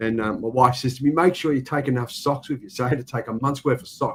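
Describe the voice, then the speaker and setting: A man talks with an Australian accent. His pitch is medium and his pace very fast. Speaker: livestream host. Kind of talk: casual chat.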